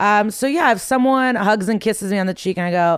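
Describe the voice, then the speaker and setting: This woman has a Midwestern American accent and a medium pitch. She talks at a fairly quick pace with ordinary pitch variation. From US Midwest. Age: 30s. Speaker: comedian. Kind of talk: casual chat.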